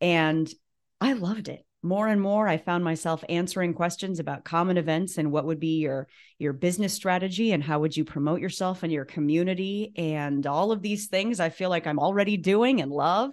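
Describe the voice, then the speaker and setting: Over a quiet background, a woman with an unremarkable speaking voice talks at a fairly quick pace, her fairly low pitch showing ordinary variation. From Nebraska, US Midwest. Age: 40s. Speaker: former TV news anchor, school communications director. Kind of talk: casual interview.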